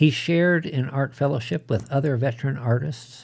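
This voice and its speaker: A man's medium-pitched, somewhat breathy voice with a dark, mellow tone, ordinary pitch variation and a fairly slow pace. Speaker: podcast host. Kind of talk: eulogy tribute, solemn scripted narration. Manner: formal, reverent.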